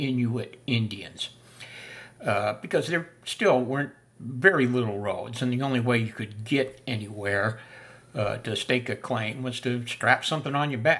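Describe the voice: A fairly bright tone at a fairly slow pace. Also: man.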